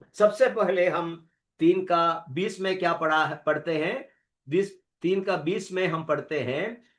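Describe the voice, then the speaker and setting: The background stays quiet. A man talks in a high pitch. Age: 70s. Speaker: preacher. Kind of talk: sermon. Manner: halting, with fillers.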